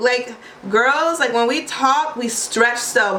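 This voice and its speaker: A woman with a Baltimore accent uses a raised, projected voice and an animated tone, with audible room echo and noticeable background noise. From US, Baltimore, Maryland. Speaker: vlogger and English teacher. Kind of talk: casual vlog monologue. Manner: animated, chatty.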